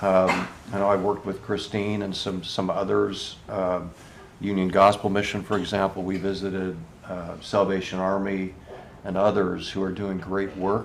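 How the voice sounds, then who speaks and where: A man with a fairly low voice speaks at a fairly slow pace in a monotone, flat delivery, with audible room echo around him. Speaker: political candidate. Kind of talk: town hall Q&A. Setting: room with live audience. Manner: halting, many fillers.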